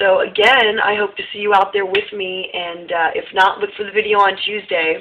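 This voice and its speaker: Light background noise sits behind the voice. The woman speaks at a moderate pace. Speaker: local events vlogger. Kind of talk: casual event announcements to camera. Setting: recorded on a phone. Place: home room. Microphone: phone near.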